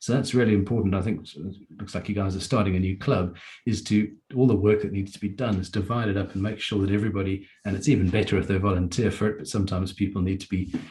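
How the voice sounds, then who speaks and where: A man talks at a very fast pace in a fairly low pitch. His intonation stays fairly even and his voice is somewhat breathy. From South Africa, near Durban. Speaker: Rotary club member and district webmaster. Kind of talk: meeting talk, personal story.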